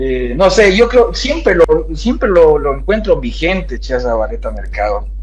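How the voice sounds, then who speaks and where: At a fairly slow pace, the speech comes through noticeable background noise and audible room echo. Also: man. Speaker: political panelist. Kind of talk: panel discussion.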